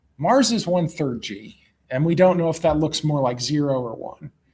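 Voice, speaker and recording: A somewhat breathy man with an American accent, fairly high in pitch, at a moderate pace with ordinary pitch variation. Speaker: analog mission crew member giving a talk. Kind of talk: Q&A after a talk. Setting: club meeting with audience. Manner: frequent fillers (um).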